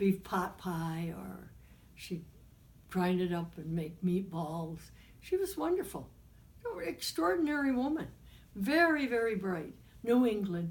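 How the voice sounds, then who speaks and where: Somewhat breathy speech with lively intonation, long, frequent pauses and audible room echo. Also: woman. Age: 90s. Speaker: interviewee recounting life history. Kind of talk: oral history interview. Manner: halting.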